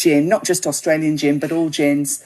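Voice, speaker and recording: Here is a woman with a British accent. Her pitch is fairly low. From UK. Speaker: gin writer and website founder. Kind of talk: podcast interview. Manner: casual, many fillers.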